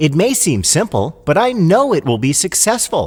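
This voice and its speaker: A man puts on a character voice at a high pitch, swinging his pitch very widely. He keeps a moderate pace. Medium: read story.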